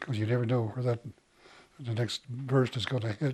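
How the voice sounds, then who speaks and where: Speaking at a fairly quick pace, a man with an American accent has a medium pitch, ordinary pitch variation, a dark, mellow tone and a somewhat breathy quality. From Montana, Crow reservation. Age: 80s+. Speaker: war veteran. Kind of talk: interview. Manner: casual.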